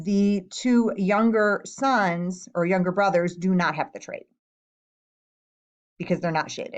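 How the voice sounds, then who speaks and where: Speaking at a fairly slow pace with long, frequent pauses, a woman uses a medium pitch and ordinary pitch variation. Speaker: science teacher. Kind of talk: tutorial.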